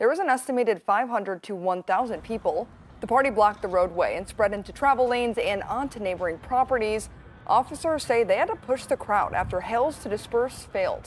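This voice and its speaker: A woman's fairly high voice with lively intonation, set against noticeable background noise. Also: fairly quick pace. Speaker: TV news anchor. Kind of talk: TV news anchor read. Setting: studio.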